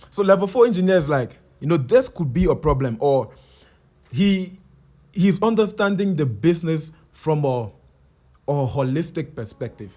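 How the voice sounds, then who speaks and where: This man speaks at a moderate pace with a Liberian accent and lively intonation, his voice fairly high. The recording is very clean, with a silent background. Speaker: software engineer. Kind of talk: casual explainer talk. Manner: hesitant, repeats words.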